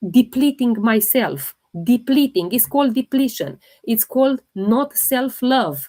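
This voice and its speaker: A woman with a non-native accent speaks at a fairly slow pace, with a high pitch and ordinary pitch variation. Her tone is dark and mellow, and the sound is dry and close with no echo. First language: not English. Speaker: holistic health livestreamer. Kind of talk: live Q&A stream.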